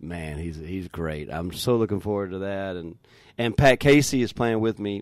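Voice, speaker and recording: A man with an American accent, a plain, everyday voice, fairly low pitch, lively intonation and a moderate pace. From North Carolina. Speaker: touring musician. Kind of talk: radio interview. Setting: radio studio.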